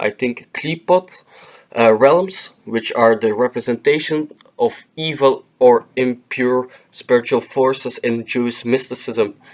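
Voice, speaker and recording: A man of medium pitch with a non-native accent talks at a fairly slow pace with ordinary pitch variation. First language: non-native English speaker. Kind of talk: educational explainer narration. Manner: hesitant, with filler words.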